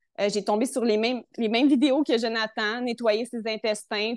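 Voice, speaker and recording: A woman with a Quebec accent talks at a moderate pace in a fairly high voice. Her intonation stays fairly even. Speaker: health testimonial guest. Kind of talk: personal testimony.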